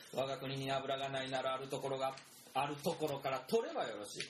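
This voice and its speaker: Fairly quick, fairly high-pitched male speech amid noticeable background noise and audible room echo. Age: 30s. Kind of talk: casual chat; storytelling.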